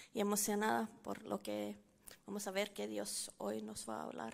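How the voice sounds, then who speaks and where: A woman speaks at a fairly slow pace. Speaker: church member giving a teaching. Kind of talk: bible teaching. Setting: church service with audience.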